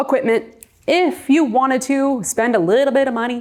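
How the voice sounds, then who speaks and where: This woman has a high-pitched voice. She talks in a New York accent. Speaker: real estate agent and coach. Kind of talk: presentation. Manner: loud; talkative.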